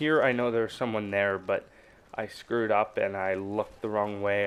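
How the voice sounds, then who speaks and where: Delivered at a moderate pace, the voice sounds shaky and stays in a flat monotone. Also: man. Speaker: gaming YouTuber. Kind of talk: gameplay commentary tutorial. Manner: casual, halting.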